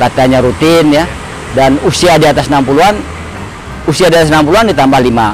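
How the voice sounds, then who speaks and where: A man at a fairly high pitch with ordinary pitch variation, a very fast pace, long, frequent pauses and very even loudness, amid audible room echo and noticeable background noise. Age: 60s. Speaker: amateur runner. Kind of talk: interview.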